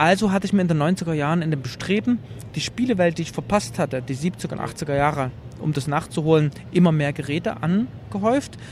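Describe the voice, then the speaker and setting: Over noticeable background noise, a man speaks at a fairly quick pace with a fairly high pitch and lively intonation. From eastern Germany, Leipzig. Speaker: journalist and retro game exhibitor. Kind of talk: interview. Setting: trade fair.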